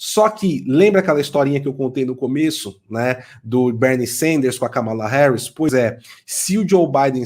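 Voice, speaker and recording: A man at a fairly high pitch, with lively intonation and a moderate pace. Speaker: political commentator. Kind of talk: podcast discussion. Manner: halting.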